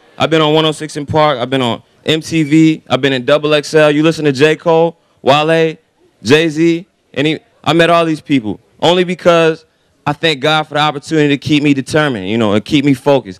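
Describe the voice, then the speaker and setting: A man with an American accent talks at a fairly quick pace and a fairly high pitch, with ordinary pitch variation, in an ordinary speaking voice. The sound is dry and close, with no echo. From Raleigh, North Carolina. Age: 20s. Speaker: rapper. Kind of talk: motivational speech. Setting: stage with audience.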